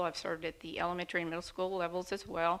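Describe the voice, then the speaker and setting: A very fast pace in a bright, sharp tone. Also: woman. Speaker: school board candidate. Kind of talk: candidate forum speech.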